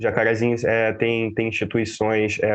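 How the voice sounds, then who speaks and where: Amid noticeable background noise, a man with a strong northeastern Brazilian accent speaks at a fairly quick pace and medium pitch with monotone, flat intonation. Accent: thick northeastern Brazilian. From Brazil, interior of Bahia (Northeast). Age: 20s. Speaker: community activist, data lab founder. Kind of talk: interview. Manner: hesitant, repeats words.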